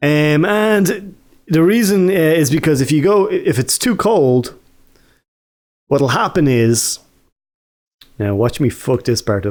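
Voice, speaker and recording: On a very clean recording with a silent background, a speaker in an Irish accent goes at a very slow pace with long, frequent pauses, very wide pitch swings and very even loudness. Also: man, fairly high pitch for a man. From Ireland. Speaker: gaming YouTuber telling stories. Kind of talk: casual storytelling. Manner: casual, hesitant with fillers.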